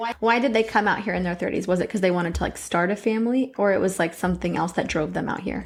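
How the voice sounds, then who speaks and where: A woman with an American accent talks at a very fast pace with hardly any pauses, her pitch medium and its variation ordinary. Vocal fry runs through her voice. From US, Jordanian immigrant parents. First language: Arabic. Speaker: podcast co-host. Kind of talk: casual chat.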